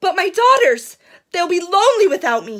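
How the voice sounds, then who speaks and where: A woman does a put-on character voice. Her pitch is extremely high and her pace moderate. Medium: read story.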